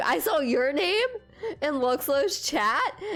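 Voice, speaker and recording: Very wide pitch swings run through the voice as music plays in the background. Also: woman. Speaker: game streamer. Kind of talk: casual live stream chat. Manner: halting, many fillers.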